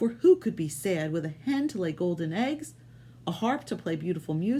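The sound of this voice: Someone reads aloud in a voice that sounds unforced.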